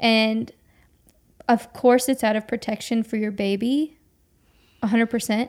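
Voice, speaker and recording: Pausing long and often, a woman speaks at a very slow pace in a fairly high, monotone voice with flat intonation. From Brazil. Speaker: podcast host. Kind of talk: casual chat.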